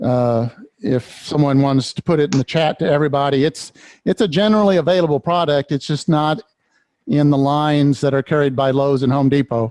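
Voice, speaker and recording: A man with a normal speaking voice talks at a fairly quick pace in a fairly high pitch, with ordinary pitch variation and very even loudness, in a dry, close sound with no echo. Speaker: woodturning demonstrator. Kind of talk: tutorial.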